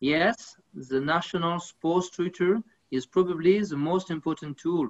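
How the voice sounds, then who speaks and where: With a French accent, the speaker talks at a fairly slow pace over a quiet background. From France. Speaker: sports federation official. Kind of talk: panel discussion. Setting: video call. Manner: halting. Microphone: video call.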